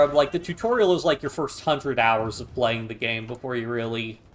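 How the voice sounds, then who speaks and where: With very wide pitch swings, a man talks in an American accent. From United States. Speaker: gaming streamer. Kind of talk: live stream commentary. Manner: casual, hesitant with fillers.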